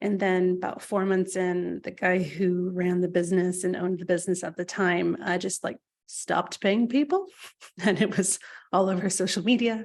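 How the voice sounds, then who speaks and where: Here a woman speaks in a strong American accent at a moderate pace. Her medium-pitched voice has fairly even intonation against a quiet background. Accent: American, still strong after years in UK. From California, US. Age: 30s. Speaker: author and former editor. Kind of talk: webinar talk.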